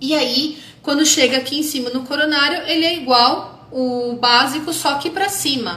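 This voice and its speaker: A raised, projected voice moves at a fairly slow pace with hardly any pauses and ordinary pitch variation, over noticeable background noise. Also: woman, high pitch for a woman. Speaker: holistic therapist teaching about chakras. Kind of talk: live stream lecture. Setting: Instagram live video stream.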